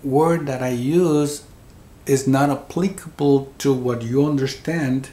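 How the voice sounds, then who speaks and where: A man speaks with a Spanish accent. His pace is very slow. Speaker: near-death experiencer. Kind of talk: interview. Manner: halting, repeats words.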